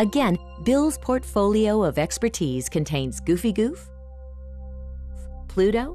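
Fairly slow delivery with long, frequent pauses, music playing in the background. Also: woman. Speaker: voice actor. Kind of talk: documentary narration.

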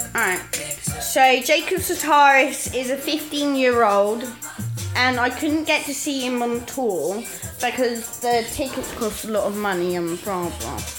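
The speech moves at a fairly slow pace. Music is clearly audible in the background. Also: woman, high pitch for a woman. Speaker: vlogger. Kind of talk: casual vlog chat. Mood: relaxed, playful. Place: home room. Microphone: phone near.

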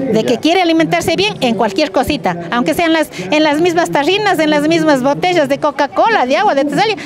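Over noticeable background noise, a woman speaks at a fairly quick pace with very wide pitch swings, in a dry sound with no echo. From Pimampiro, Imbabura, Ecuador. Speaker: rural women's group representative. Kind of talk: interview. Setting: outdoors at a seed fair. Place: street.

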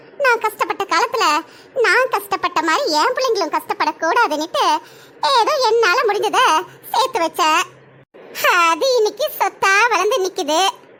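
A woman does a cartoonish character voice, extremely high in pitch with lively intonation, very even loudness and a moderate pace. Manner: sharp-tongued, scolding.

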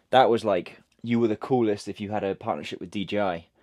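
Over a quiet background, a man with a fairly low pitch talks at a fairly quick pace in a normal speaking voice. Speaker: content creator. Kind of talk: casual vlog chat. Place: garage.

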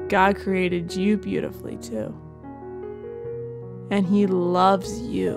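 Over music in the background, a woman speaks at a very slow pace in a gentle tone, leaving long, frequent pauses. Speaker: meditation guide. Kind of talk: children's bedtime guided meditation. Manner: soft, slow, gentle.

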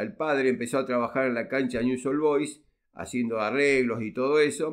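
A man with a plain, everyday voice speaks at medium pitch with lively intonation. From Argentina, Rosario. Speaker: relative of a football pioneer. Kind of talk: interview.

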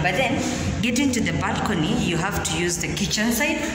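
A woman speaks at a fairly quick pace while noticeable background noise and audible room echo fill the recording. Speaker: house tour vlogger. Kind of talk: casual vlog chat. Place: empty room. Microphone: phone near.

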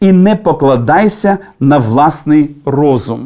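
A man talks at a very slow pace in a dark, mellow tone. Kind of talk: devotional talk with prayer. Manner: formal, didactic.

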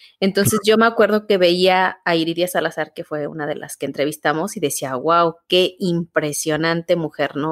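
This woman has an unremarkable speaking voice, fairly low in pitch, at a moderate pace. The sound is dry and close with no echo. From Mexico, Guanajuato. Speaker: theatre artist and university teacher, podcast co-host. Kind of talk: casual interview conversation. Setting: remote call.

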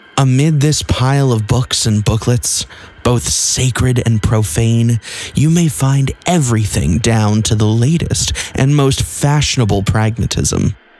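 Music plays in the background. The speaker goes at a fairly slow pace. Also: man, medium pitch for a man. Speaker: audiobook narrator. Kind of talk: audiobook reading of a literary novel, scripted narration. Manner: formal, measured, even-paced literary delivery.

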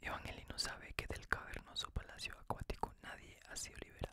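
Whispering and soft-spoken at a fairly quick pace, the voice sounds dry with no echo against loud background noise. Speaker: reader of legends. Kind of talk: reading aloud, ASMR storytelling. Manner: soft whispered storytelling reading.

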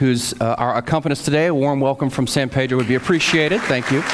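Over music in the background, a man talks at a very fast pace with very even loudness. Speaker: pastor leading worship. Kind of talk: church welcome announcements. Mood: warm, welcoming. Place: church.

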